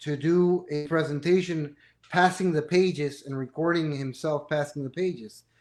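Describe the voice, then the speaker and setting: A man's fairly high voice, fairly slow pace and ordinary pitch variation, in a very clean recording with a silent background. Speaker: company president, manufacturer's rep. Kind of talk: interview.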